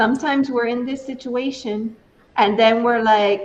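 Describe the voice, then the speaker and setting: A woman with a fairly high voice speaks at a fairly slow pace with fairly even intonation over noticeable background noise. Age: 60s. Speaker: tarot reader. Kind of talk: tarot reading. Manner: conversational.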